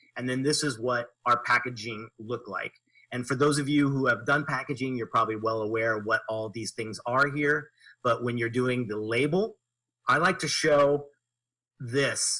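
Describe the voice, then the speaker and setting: At a moderate pace, a man of medium pitch speaks with a bright, sharp tone and ordinary pitch variation. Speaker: graphic designer. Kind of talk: presentation walkthrough.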